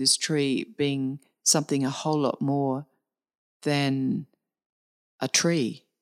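A woman with an Australian accent speaks at a very deep, low pitch with fairly even intonation. The recording is very clean, with a silent background. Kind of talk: interview conversation. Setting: face-to-face at a retreat centre.

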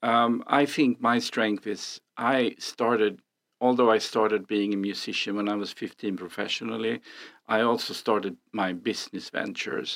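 With a Swedish accent, a man talks at a moderate pace in a fairly low voice with fairly even intonation, recorded very cleanly against a silent background with a dry, close sound and no echo. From Sweden. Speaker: real estate agent. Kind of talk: casual chat.

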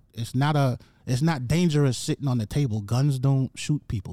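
On a very clean recording with a silent background, the sound is dry and close with no echo. A man speaks at a fairly quick pace in a dark, mellow tone. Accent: American. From Jamaica, then the Bronx, New York from age nine. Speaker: comedian. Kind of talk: casual chat.

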